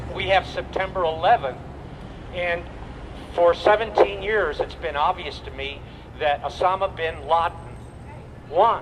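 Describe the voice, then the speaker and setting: Against noticeable background noise, a man talks at a fairly slow pace in a high voice with ordinary pitch variation, big swings in loudness and long, frequent pauses. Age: 70s. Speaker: Vietnam war veteran, activist speaker. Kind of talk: rally speech. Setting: outdoor rally in front of city hall. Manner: impassioned.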